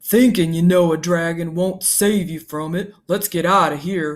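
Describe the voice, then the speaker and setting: Growling quietly in a put-on character voice, the speaker holds a middle pitch at a moderate pace. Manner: quiet, growling.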